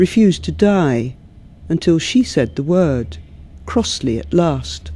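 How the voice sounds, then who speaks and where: A woman speaks with a southern English accent. Her pace is very slow. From London, England. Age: 50s. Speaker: poet. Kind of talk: interview; poetry reading.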